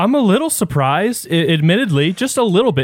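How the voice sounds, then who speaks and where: This man speaks with lively intonation. His tone is animated. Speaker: radio host. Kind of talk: radio dj patter. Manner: conversational, animated, joking storyteller.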